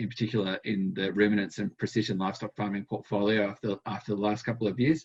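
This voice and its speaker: In an Australian accent, a man with a fairly low pitch talks at a very fast pace. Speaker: dairy vet and animal health researcher. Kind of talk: conference presentation. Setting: conference talk to an audience. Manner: hesitant, with many fillers and repetitions.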